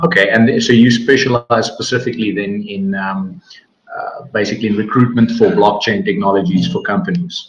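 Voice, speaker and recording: A man talks at a fairly quick pace with a South African accent. His pitch is medium, with very wide swings. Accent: Afrikaans South African. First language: Afrikaans. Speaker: interviewer. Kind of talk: interview. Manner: casual.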